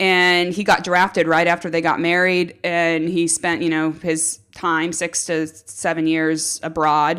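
With a Californian accent, a woman talks at a fairly slow pace with hardly any pauses, a fairly low pitch and monotone, flat intonation, on a very clean recording with a silent background. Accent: Californian American. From US, central coast of California. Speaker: pro cyclist. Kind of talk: casual chat.

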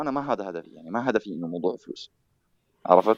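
Recorded with a dry, close sound and no echo, a man talks at a fairly quick pace. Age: 40s. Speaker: tech news site founder. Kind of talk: interview.

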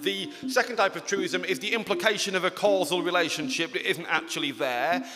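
A man with an English accent speaks at a fairly quick pace in a raised, projected voice, his pitch high and his intonation lively, over noticeable background noise. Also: hardly any pauses. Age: 30s. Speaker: comedian. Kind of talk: stand-up. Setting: stage with audience.

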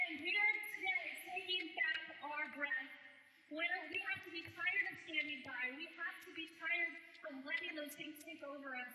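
A woman's raised, projected voice at an extremely high pitch, in an American accent, with ordinary pitch variation and big swings in loudness. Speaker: women's ministry speaker. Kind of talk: sermon. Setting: church service with audience. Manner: fast; animated.

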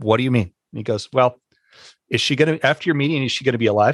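A man's medium-pitched voice at a very fast pace, with ordinary pitch variation and a dry, close sound with no echo. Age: 40s. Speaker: teacher and podcast host. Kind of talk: casual chat.

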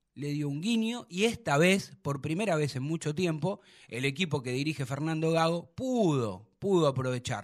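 A man with an ordinary speaking voice talks at a moderate pace with hardly any pauses, his pitch fairly high and his intonation lively. The recording is very clean, with a silent background. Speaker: sports radio host. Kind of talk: casual radio talk show.

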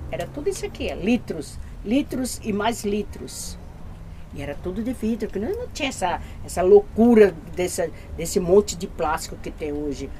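A woman's moderately paced speech comes with noticeable background noise. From Bahia, Brazil. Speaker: community gardener. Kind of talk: documentary interview, guiding a tour.

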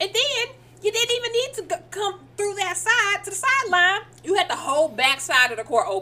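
Raising and projecting her voice, a woman sounds playful as her pitch makes very wide swings. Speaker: podcast co-host. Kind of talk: live sports commentary, play-by-play style reaction to a game clip, mixed with banter. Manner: animated, excited, exclaiming ('Oh Lord') in quick reactive bursts; playful, teasing back-and-forth with co-host.

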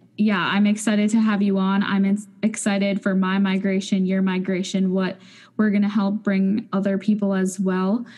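A woman with a medium pitch speaks at a moderate pace in a flat monotone, her voice somewhat breathy and her loudness very even. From North Dakota. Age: 20s. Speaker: podcast co-host. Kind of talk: casual chat.

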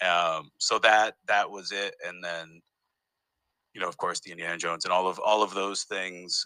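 A man speaks at a moderate pace with a Northeastern US accent. The sound is dry and close, with no echo. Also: big swings in loudness. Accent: US Northeast American. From US Northeast, Massachusetts. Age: 40s. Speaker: comedian and festival founder. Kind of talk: casual interview. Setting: remote recording from parents' living room.

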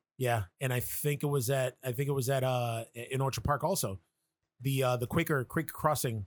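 A man speaks in a normal speaking voice at a medium pitch with ordinary variation and a moderate pace. His loudness is very even, and the sound is dry and close with no echo. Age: 40s. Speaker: horror podcast co-host. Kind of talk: casual chat.

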